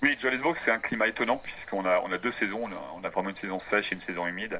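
Very deep, low male voice, its pitch moving up and down in a normal way. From France, Brittany. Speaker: tour guide. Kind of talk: interview. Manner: halting.

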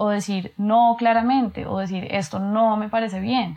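A woman's fairly high voice at a moderate pace, with ordinary pitch variation and an unremarkable speaking voice. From Colombia, Bogotá. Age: 30s. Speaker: architect and lecturer. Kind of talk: casual chat.

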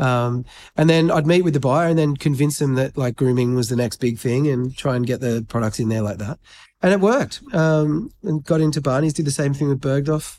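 With an Australian accent, a man talks at a fairly quick pace in a fairly high pitch and a dark, mellow tone, showing ordinary pitch variation on a very clean recording with a silent background. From Australia, New South Wales south coast. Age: 40s. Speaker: grooming brand founder. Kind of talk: casual interview. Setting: stage in a private members' club, in person.

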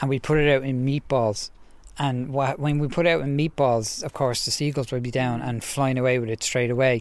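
This man has a Dublin accent and a medium pitch. He talks at a fairly quick pace. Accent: Irish (Dublin). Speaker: wildlife podcast co-host, zoologist. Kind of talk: casual chat. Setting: outdoors, garden. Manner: animated.

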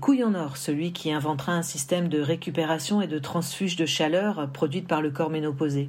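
A woman with a very deep, low pitch speaks at a moderate pace amid audible room echo. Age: 50s. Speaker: woman giving a menopause testimony. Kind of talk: testimony.

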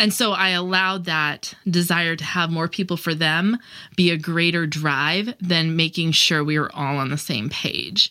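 An ordinary speaking voice, a woman's, fairly low in pitch, with ordinary pitch variation at a fairly slow pace. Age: younger than 40. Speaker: homeschool co-op founder. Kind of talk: interview.

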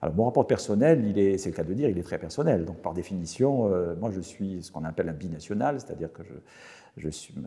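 Very deep and low with a dark, mellow tone, a man's voice moves with lively intonation. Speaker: professor. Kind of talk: interview. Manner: halting.

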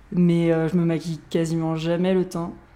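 A woman with an unremarkable speaking voice speaks at a moderate pace, her pitch fairly low. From Paris region, France. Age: 20s. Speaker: interviewee. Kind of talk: interview.

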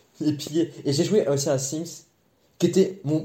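Somewhat breathy and dark, mellow in tone, a man's fairly high voice moves at a fairly slow pace with lively intonation. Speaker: podcast co-host. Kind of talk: casual chat.

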